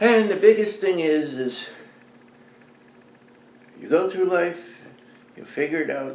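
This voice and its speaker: This man has a high-pitched voice and talks at a fairly slow pace. He leaves long, frequent pauses, and there is noticeable background noise. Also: ordinary pitch variation, big swings in loudness. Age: 70s. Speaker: Vietnam veteran. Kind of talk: casual talk to camera.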